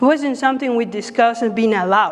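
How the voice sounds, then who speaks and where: A woman with a Spanish accent talks at a very fast pace in a high pitch. Noticeable background noise is present. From Mexico City, Mexico. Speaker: pro-life speaker, former clinic worker. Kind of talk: public talk.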